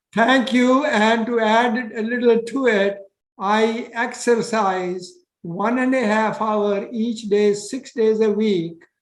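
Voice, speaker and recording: In a room with audible echo, a man with a high pitch speaks at a very slow pace and fairly even intonation. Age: 80s+. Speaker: retired cardiologist and health author. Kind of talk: interview. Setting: video call.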